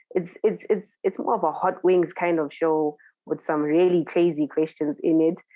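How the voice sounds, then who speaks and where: At a moderate pace, a woman with a Zimbabwean accent speaks in a fairly low voice with fairly even intonation and very even loudness. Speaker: DJ and TV presenter. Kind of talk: interview.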